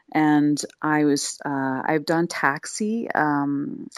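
In a dry, close sound with no echo and a silent background on a very clean recording, a woman with an American accent speaks at a very deep, low pitch. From US Mid-Atlantic (Wilmington, Delaware). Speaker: singer-songwriter and music teacher. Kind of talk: interview.

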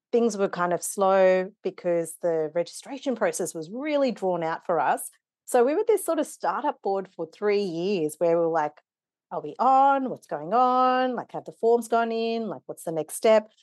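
A woman speaks with an Australian accent at a moderate pace and a medium pitch. The sound is dry and close with no echo, over a quiet background. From Kenya-born, raised in Wollongong, Australia. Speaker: non-profit board member and facilitator. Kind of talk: interview conversation.

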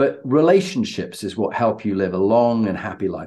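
Speaking at a moderate pace with a British accent, a man uses a medium pitch and a dark, mellow tone, with very wide pitch swings. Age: 60s. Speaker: podcast host and leadership coach. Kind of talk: interview.

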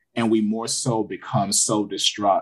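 This is a man speaking. His pace is moderate. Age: 30s. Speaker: therapist podcast co-host. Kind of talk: casual chat.

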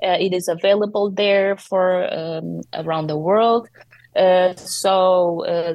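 A woman speaks with a Portuguese accent at a medium pitch. Her intonation stays fairly even. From Portugal. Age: 30s. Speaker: poet. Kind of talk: interview. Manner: halting.

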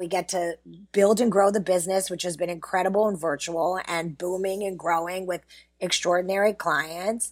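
Using a normal speaking voice, a woman with an American accent talks at a moderate pace and medium pitch with fairly even intonation. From US, Pittsburgh. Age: 50s. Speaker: PR agency founder. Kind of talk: interview.

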